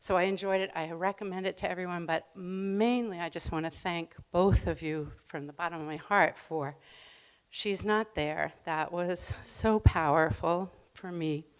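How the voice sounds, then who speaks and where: A woman with a normal speaking voice and fairly low pitch talks at a fairly slow pace, her loudness swinging widely, on a very clean recording with a silent background. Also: fairly even intonation. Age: 60s. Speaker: audience member. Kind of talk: audience question. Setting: library event with live audience.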